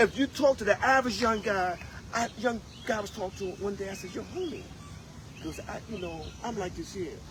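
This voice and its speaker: Over noticeable background noise, a high-pitched man talks at a fairly quick pace with ordinary pitch variation and big swings in loudness. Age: 70s. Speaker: former prisoner telling life story. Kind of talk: casual interview.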